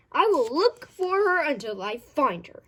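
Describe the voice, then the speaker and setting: In a put-on character voice, a woman projects loudly at a high pitch and a moderate pace, her pitch swinging very widely. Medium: read story.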